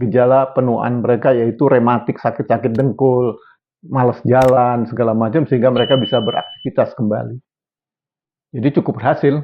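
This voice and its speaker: A man with a normal speaking voice, medium in pitch, at a fairly quick pace. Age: 60s. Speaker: health video presenter. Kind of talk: educational talk. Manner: casual, conversational.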